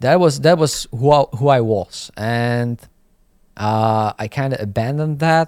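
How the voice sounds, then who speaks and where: A man talks at a fairly slow pace with a Slovak accent. The recording is very clean, with a silent background. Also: medium pitch for a man, ordinary pitch variation, dry, close sound with no echo. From Slovakia. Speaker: graffiti artist and YouTuber. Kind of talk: casual interview chat. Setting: studio podcast in New York. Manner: halting, many fillers.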